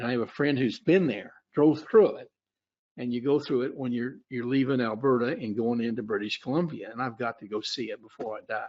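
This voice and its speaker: This man talks at a fairly quick pace with an Oklahoma accent, his pitch medium. His pitch varies in an ordinary way, while his loudness swings widely. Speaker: futures trader and trading educator. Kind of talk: webinar presentation. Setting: webinar. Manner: halting, many fillers.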